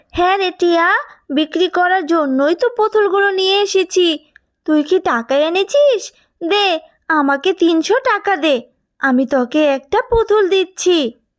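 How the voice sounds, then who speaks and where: A woman performs a cartoonish character voice at an extremely high pitch. She speaks at a fairly slow pace. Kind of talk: street vendor hawking call. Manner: brisk, salesy.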